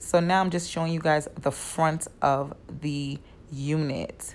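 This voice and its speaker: A woman talks in a New York accent. Her pitch is fairly low. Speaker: wig stylist. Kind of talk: tutorial. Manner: casual, chatty.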